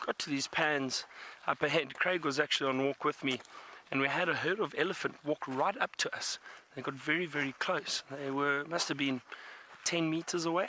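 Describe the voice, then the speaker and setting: In a plain, everyday voice, a man talks at a fairly quick pace with a fairly high pitch and fairly even intonation, the sound dry and close with no echo. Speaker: safari guide. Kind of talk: live commentary. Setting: outdoors on a bush walk.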